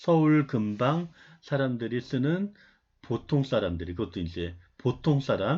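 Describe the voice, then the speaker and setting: Against a quiet background, a somewhat breathy man speaks very slowly at medium pitch with very wide pitch swings. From Seoul area, family from North Gyeongsang. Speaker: university lecturer. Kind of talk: online lecture. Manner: conversational, with many filler sounds.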